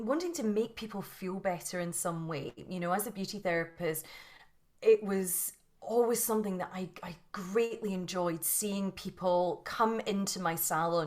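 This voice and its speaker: A Scottish accent with ordinary pitch variation. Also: woman, medium pitch for a woman, moderate pace. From Scotland. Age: 40s. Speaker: yoga and mindset teacher. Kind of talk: interview. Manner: halting, many repetitions.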